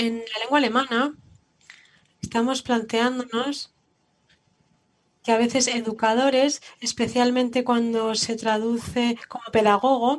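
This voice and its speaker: A woman's fairly high, monotone voice with flat intonation, at a fairly slow pace with long, frequent pauses. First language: German (speaking Spanish). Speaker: museum educator. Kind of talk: panel discussion.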